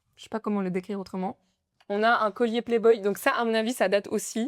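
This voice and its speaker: A woman in an ordinary speaking voice talks at a moderate pace in a medium pitch with fairly even intonation, in a very clean recording with a silent background and a dry, close sound with no echo. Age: 20s. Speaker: nail artist. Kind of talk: casual podcast interview.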